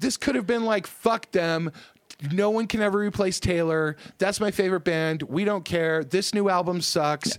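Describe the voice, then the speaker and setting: A man speaks with a high pitch at a moderate pace. His loudness stays very even. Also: ordinary pitch variation. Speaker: podcast co-host. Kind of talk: casual chat, podcast banter.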